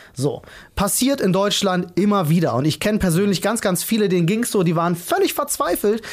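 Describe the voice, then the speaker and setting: Noticeable background noise sits under fairly quick speech. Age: 30s. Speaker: video game journalist. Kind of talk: casual chat.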